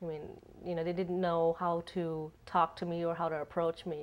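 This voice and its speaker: A woman speaks with a slight Asian accent at a fairly low pitch and moderate pace. Her intonation is fairly even, on a very clean recording with a silent background. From United States. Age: 30s. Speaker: interviewee, expat. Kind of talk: interview. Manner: halting, many repeats and fillers.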